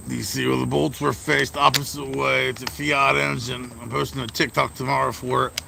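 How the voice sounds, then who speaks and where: A man with a very deep, low pitch and very wide pitch swings at a fairly quick pace, hardly any pauses, over noticeable background noise. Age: 30s. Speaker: mobile mechanic and livestreamer. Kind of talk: casual livestream chat. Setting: outdoors by the garage. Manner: casual, lots of swearing fillers.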